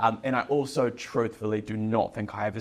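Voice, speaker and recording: With a New Zealand accent, a man speaks in a fairly low pitch with vocal fry. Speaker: business owner. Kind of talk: podcast interview. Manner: hesitant, many filler words.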